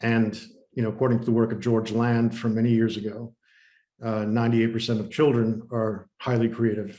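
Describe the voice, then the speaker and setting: A man with an American accent talks at a fairly quick pace in a dark, mellow tone, his intonation monotone and flat. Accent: very American. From USA, born New Haven, Connecticut. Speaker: innovation strategist and creativity coach. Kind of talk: podcast interview.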